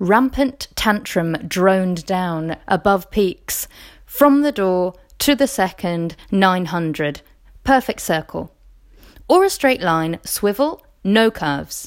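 A woman's medium-pitched voice with lively intonation at a very slow pace, in a very clean recording with a silent background. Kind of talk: poem performed.

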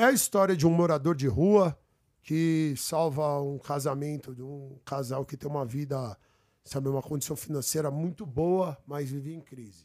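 A man with a plain, everyday voice, fairly high-pitched, with ordinary pitch variation at a moderate pace, on a very clean recording with a silent background. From São Paulo, Brazil. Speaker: guest. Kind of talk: casual chat. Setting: studio.

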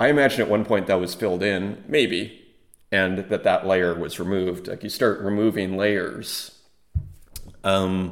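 A man speaks at a fairly slow pace with a fairly low pitch and fairly even intonation. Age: 40s. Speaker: artist and NFT collector podcaster. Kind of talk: casual solo video commentary.

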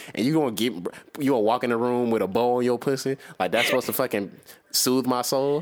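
A man's medium-pitched voice at a very fast pace, with very even loudness and fairly even intonation. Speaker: podcast co-host. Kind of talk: casual banter, crude humor. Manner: teasing, joking.

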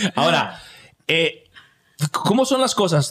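A man's high-pitched voice with lively intonation. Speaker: podcast host. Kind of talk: casual chat.

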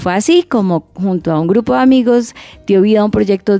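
A woman's dark, mellow voice at a medium pitch, with ordinary pitch variation and a moderate pace. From Colombia, Cali. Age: 30s. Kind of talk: radio magazine show, casual chat and news segments.

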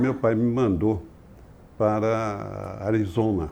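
Over audible room echo, a man with a fairly low pitch and a dark, mellow tone speaks at a very slow pace. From Brazil, São Paulo. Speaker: business executive and board member. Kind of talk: interview conversation.

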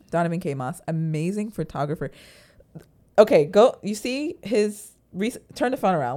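With an American accent, a woman talks at a moderate pace in a fairly low pitch. Hers is an unremarkable speaking voice with lively intonation. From Florida. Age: 20s. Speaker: podcast co-host. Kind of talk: casual chat.

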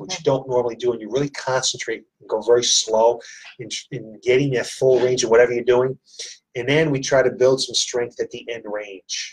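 At a medium pitch and fairly quick pace, a man speaks in a somewhat breathy voice. His intonation is fairly even while his loudness swings widely. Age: 60s. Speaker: fitness gym owner and podcast host. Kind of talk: casual interview. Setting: studio at a gym.

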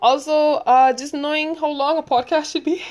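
A woman speaks in an animated tone with a Barbadian accent against a quiet background. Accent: Barbadian (Bajan) English. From Barbados. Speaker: podcaster. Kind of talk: casual solo monologue. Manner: fast talker.

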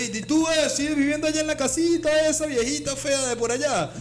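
With a Venezuelan accent, a man speaks at a fairly quick pace with ordinary pitch variation. Noticeable background noise and audible room echo are present. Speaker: comedy podcast co-host. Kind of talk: casual chat.

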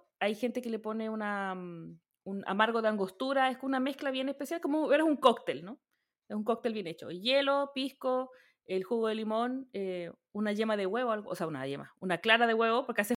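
In a Chilean accent, a woman with a fairly high pitch and lively intonation is heard on a very clean recording with a silent background. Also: moderate pace. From rural Chile. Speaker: podcast host. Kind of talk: casual chat.

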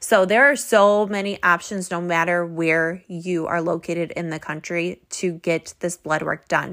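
A woman's unremarkable speaking voice, fairly low-pitched with ordinary pitch variation, at a fairly slow pace with hardly any pauses. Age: 30s. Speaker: fitness podcast host and bodybuilding competitor. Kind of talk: solo podcast talk. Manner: casual, chatty with fillers.

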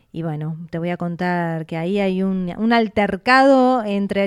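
On a very clean recording with a silent background, a woman with an unremarkable speaking voice uses lively intonation at a fairly slow pace. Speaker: radio host. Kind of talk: radio talk show.

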